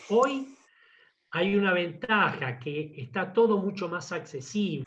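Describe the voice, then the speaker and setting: A man speaks at a very slow pace. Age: 70s. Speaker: engine engineer. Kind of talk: technical talk with Q&A. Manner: enthusiastic.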